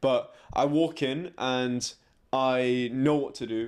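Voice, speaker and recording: The recording is very clean, with a silent background. A man with an English accent speaks with fairly even intonation. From England. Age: 20s. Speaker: fashion model. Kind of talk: interview.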